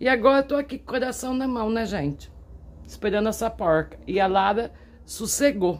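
A woman speaks with fairly high pitch. Her voice has vocal fry. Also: lively intonation, moderate pace. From Brazil. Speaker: vlogger, smallholder; vlogger. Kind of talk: casual vlog talk to camera. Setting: outdoors on a farm. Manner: animated. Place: farm. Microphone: phone near.

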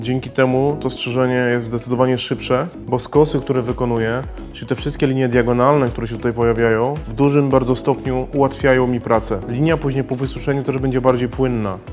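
Over clear music in the background, a man talks very fast with hardly any pauses in a monotone, flat intonation. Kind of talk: tutorial. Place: shop.

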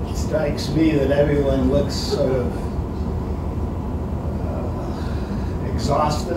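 A man talks at a very slow pace amid loud background noise and audible room echo. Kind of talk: informal slide presentation. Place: meeting room.

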